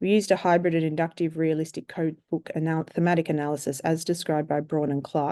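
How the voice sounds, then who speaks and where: Against a quiet background, a woman with an Australian accent speaks at a fairly quick pace in a fairly low, dark, mellow tone. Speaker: surgeon and researcher. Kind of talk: conference presentation. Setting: webinar. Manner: formal.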